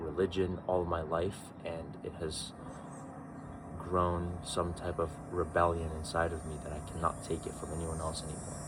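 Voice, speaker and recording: A man with a very deep, low voice speaks at a moderate pace, with audible room echo. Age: 20s. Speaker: vlogger, young entrepreneur. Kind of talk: personal vlog monologue.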